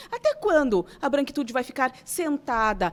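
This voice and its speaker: The pitch of this woman's voice is high. It swings very widely. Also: very clean recording, silent background. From southern Brazil, Santana do Livramento. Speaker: writer. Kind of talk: interview. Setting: studio. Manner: animated.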